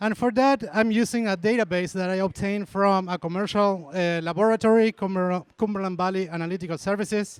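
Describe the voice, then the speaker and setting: Fairly quick, fairly even speech in an Argentine accent with hardly any pauses, on a very clean recording with a silent background. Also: man, high pitch for a man. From Argentina. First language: Spanish. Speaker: university dairy extension specialist. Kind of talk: lecture.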